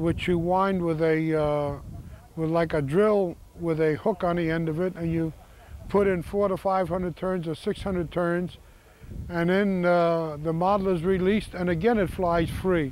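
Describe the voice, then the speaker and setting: Fairly even intonation at a moderate pace. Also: man, high pitch for a man. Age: 70s. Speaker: model airplane competitor. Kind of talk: interview.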